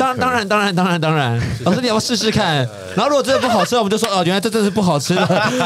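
A man with a high pitch talks at a very fast pace. His loudness stays very even over noticeable background noise. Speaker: radio host. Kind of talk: radio talk show hosting.

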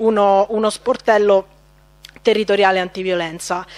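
A woman with fairly even intonation. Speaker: local councillor. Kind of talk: formal council speech. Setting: council chamber. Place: hall. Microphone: podium.

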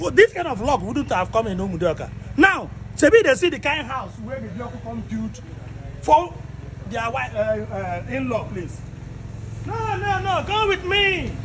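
With noticeable background noise behind him, a man speaks at a moderate pace, leaving long, frequent pauses as his loudness swings widely. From Nigeria, Igbo southeast. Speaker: vlogger; comedian in a skit. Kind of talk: walking tour commentary. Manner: animated. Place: garden. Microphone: phone near.

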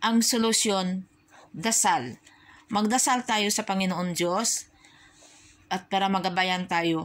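A woman speaks at a very slow pace. Her speech has long, frequent pauses. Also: medium pitch for a woman, ordinary pitch variation. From Philippines. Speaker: overseas worker vlogger. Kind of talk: opinion vlog monologue. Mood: somber, sad reflection. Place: home room. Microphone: phone near.

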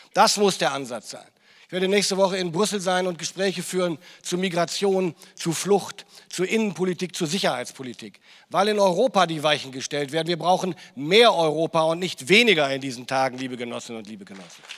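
A high-pitched man speaks at a fairly quick pace with lively intonation. His loudness swings widely. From northern Germany. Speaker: politician. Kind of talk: political speech. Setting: stage with audience. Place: hall. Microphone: handheld.

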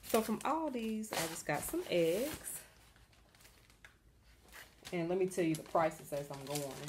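A woman's moderate pace comes across against noticeable background noise. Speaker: home vlogger. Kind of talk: casual haul vlog chat. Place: home room. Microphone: phone near.

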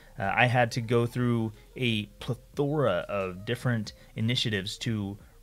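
Faint music plays in the background as a man with an American accent talks at a medium pitch. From United States. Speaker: YouTuber, freelancing coach. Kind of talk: casual rant to camera. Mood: frustrated, recounting a grievance. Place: home room. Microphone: studio mic.

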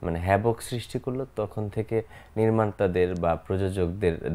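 Dark, mellow tone from a man whose pitch varies in an ordinary way. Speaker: film actor guest. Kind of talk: interview answer. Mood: relaxed, smiling. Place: studio. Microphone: lapel.

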